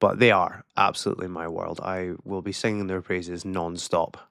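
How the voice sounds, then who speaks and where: A man speaks in a northern Scottish accent with a very deep, low pitch and a bright, sharp tone. His pace is moderate, and the recording is very clean with a silent background. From far north of Scotland. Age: 30s. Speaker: vlogger. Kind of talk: casual monologue to camera. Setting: alone in a room on camera. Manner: halting.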